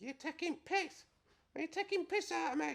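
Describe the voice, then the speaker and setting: A squeaky, put-on character voice at an extremely high pitch, moving at a moderate pace. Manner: confrontational, indignant.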